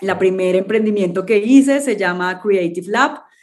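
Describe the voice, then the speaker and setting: With a plain, everyday voice, a woman talks at a moderate pace and medium pitch. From Colombia, Cartagena. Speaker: startup founder and CEO. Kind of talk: interview.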